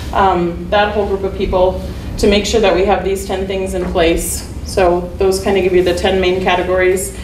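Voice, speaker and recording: A woman speaks at a moderate pace with monotone, flat intonation. Audible room echo and light background noise are heard. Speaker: athletic trainer presenting an award. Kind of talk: presentation to a board. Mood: pleased, a bit nervous. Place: meeting room. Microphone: camera far.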